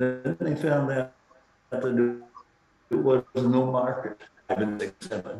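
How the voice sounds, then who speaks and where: With noticeable background noise behind him, a man speaks very slowly at a medium pitch with ordinary pitch variation. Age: 80s+. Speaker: speaker at a symposium. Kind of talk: Q&A discussion. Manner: halting with false starts.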